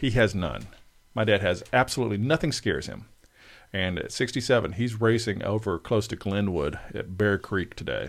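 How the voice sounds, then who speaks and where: With an American accent, a man speaks in an ordinary speaking voice, fairly low-pitched with ordinary pitch variation, at a moderate pace on a very clean recording over a silent background. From US South, South Arkansas. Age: 40s. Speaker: musician. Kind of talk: casual chat.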